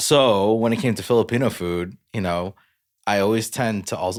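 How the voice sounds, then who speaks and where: In a very clean recording with a silent background, a man with an American accent speaks at a moderate pace. He has an unremarkable speaking voice, fairly low in pitch, with ordinary pitch variation. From United States. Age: 30s. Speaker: podcast co-host. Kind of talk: casual chat.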